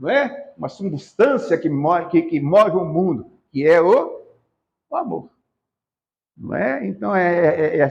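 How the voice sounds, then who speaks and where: Using very wide pitch swings, a man talks at a high pitch and a very slow pace with long, frequent pauses. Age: 70s. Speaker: spiritist lecturer. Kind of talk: religious lecture. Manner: halting, many fillers and repetitions.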